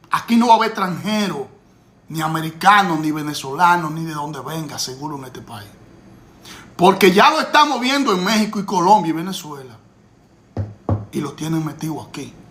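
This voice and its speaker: A high-pitched man at a fairly quick pace, with lively intonation, big swings in loudness, long, frequent pauses and audible room echo. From Dominican Republic. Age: 50s. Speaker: political commentator. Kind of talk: political commentary. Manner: animated.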